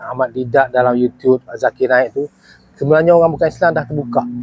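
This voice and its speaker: A man's medium-pitched voice, dry and close with no echo. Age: 60s. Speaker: retired police officer and volunteer preacher. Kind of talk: casual testimony. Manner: halting, many fillers.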